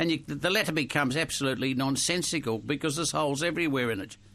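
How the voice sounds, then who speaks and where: A man's bright, sharp, fairly high voice with an Australian accent, very fast, with ordinary pitch variation. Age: 70s. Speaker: priest and radio co-host. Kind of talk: radio chat.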